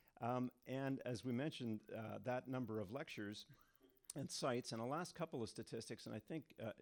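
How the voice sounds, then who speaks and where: A man speaks at a fairly quick pace in a normal speaking voice, medium-pitched with ordinary pitch variation, the sound dry and close with no echo. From Canada. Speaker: hydrogeologist, university professor. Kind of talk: lecture. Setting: stage with audience. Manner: frequent fillers (um, uh) and repetitions.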